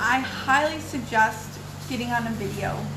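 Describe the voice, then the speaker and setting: Against noticeable background noise and audible room echo, a woman speaks in a high pitch that swings very widely. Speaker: video blogger. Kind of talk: casual vlog monologue. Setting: at home. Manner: fast.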